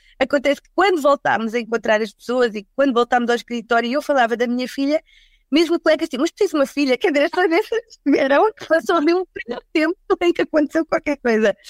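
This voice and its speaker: Speaking very fast, a woman has a high pitch, lively intonation and big swings in loudness. The sound is dry and close, without echo. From Portugal, Lisbon and the Algarve. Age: 40s. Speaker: HR recruitment executive. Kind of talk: casual panel discussion.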